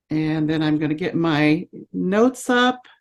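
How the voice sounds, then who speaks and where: A woman's very slow speech with lively intonation against a quiet background. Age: 70s. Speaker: voice teacher and singer. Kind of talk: lecture.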